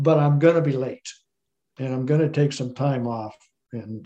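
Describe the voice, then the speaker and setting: A man with an American accent, fairly high in pitch yet dark and mellow in tone, somewhat breathy, at a moderate pace with ordinary pitch variation. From Colorado. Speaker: descendant of historical figure, tour operator. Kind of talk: interview, historical storytelling.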